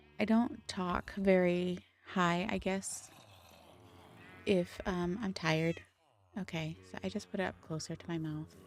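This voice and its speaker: A soft-spoken woman's fairly low voice, fairly slow and fairly even in intonation, with long, frequent pauses and big swings in loudness. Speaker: gaming streamer. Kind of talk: live game stream chat. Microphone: too quiet, moved closer to mouth.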